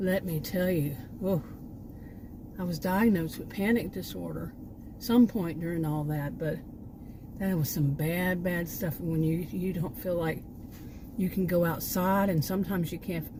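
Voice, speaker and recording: A woman with an American accent speaks at a moderate pace, her pitch fairly low and her intonation fairly even. Long, frequent pauses break up her speech, and audible room echo surrounds her. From Texas. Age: 60s. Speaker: vlogger, former sociology teacher. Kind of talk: casual vlog monologue. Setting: sitting in parked SUV. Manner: hesitant, many fillers and restarts.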